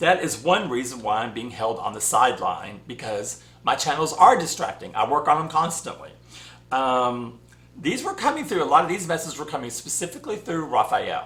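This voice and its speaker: Speaking at a fairly quick pace, a man with a Southern US accent uses a fairly high pitch with very wide swings, over noticeable background noise. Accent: southern US twang. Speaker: spiritual channel host. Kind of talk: casual vlog monologue. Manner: rambling, conversational with fillers.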